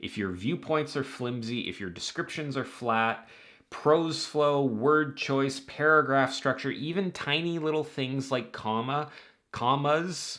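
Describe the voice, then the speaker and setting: A man's unremarkable speaking voice, fairly high in pitch, with ordinary pitch variation and a fairly slow pace. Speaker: writing advice youtuber. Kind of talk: scripted talk to camera.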